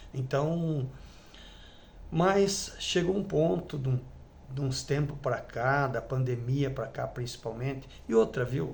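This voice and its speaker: A man at a very slow pace with long, frequent pauses, somewhat breathy, medium in pitch with ordinary variation, amid audible room echo. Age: 60s. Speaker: former church elder. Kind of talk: testimony. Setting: at home with wife present. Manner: halting.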